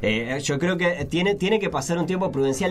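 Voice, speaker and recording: A man talks with a Uruguayan accent. Background noise is noticeable. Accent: Rioplatense Spanish (Uruguayan). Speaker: podcast host. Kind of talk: casual chat. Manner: halting, frequent repetitions.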